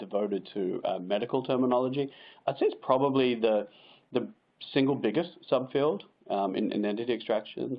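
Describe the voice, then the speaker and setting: At a moderate pace, a man with an American accent speaks with ordinary pitch variation. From Australia. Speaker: machine learning expert, webinar presenter. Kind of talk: webinar Q&A. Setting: online webinar. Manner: halting, many fillers and repetitions.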